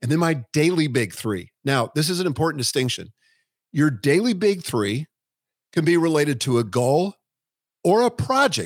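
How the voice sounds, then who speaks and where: A man's fairly high voice at a moderate pace, with very wide pitch swings and long, frequent pauses, on a very clean recording with a silent background and a dry, close sound with no echo. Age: 60s. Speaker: business author and planner creator. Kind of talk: interview.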